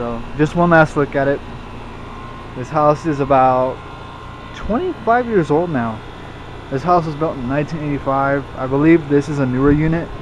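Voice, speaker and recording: Noticeable background noise sits behind a man with a fairly high pitch and ordinary pitch variation. He keeps a moderate pace, broken by long, frequent pauses. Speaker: HVAC hobbyist vlogger. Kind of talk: casual video walkthrough.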